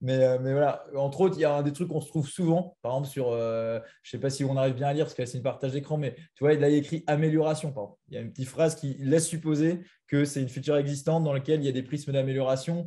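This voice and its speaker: This man talks at a very fast pace with a fairly high pitch and fairly even intonation. His tone is dark, mellow and somewhat breathy, against a quiet background. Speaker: product manager presenting a software tool. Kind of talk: webinar presentation with Q&A. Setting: online video call with screen share. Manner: hesitant, many fillers.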